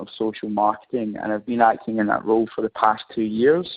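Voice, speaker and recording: A man speaks in a Scottish accent at a medium pitch. His pace is fairly quick. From Scotland. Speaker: professor. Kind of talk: webinar presentation. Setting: online webinar. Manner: hesitant, frequent fillers.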